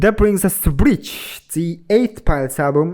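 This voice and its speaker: A man with a non-native accent speaks in a dark, mellow tone at a moderate pace. The recording is very clean, with a silent background. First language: not English. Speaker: music reaction youtuber. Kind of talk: reaction commentary while reading a review aloud.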